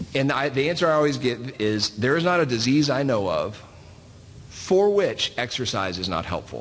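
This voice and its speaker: A man speaks at a fairly quick pace in a fairly high pitch. His pitch swings very widely. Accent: Southern US. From US South (Southeast). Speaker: physician. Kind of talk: panel talk. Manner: halting, many fillers.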